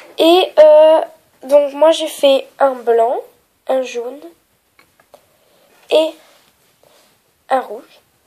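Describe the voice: A woman speaks very slowly with long, frequent pauses, her high, nasal voice dark and mellow in tone with ordinary pitch variation.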